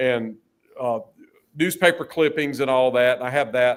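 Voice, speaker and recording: A man with a Southern US accent at a moderate pace. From North Carolina. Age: 60s. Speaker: musician and business owner. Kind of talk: interview chat. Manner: halting.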